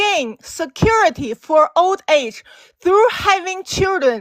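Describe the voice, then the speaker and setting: A woman's extremely high voice in a Chinese accent, very slow, with very wide pitch swings and a dry, close sound with no echo. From China. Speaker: caller. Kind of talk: debate. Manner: halting.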